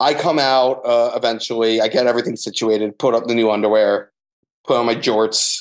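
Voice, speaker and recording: At a fairly quick pace over a quiet background, a man uses a normal speaking voice at medium pitch with fairly even intonation and very even loudness. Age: 20s. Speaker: photographer. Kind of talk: casual chat, storytelling.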